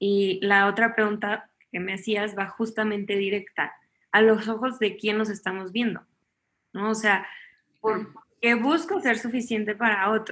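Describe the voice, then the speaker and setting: This woman has a plain, everyday voice. She talks fairly slowly, with a fairly high pitch. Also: fairly even intonation. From Mexico, Chihuahua. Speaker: chef and family sciences student. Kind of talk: conference interview.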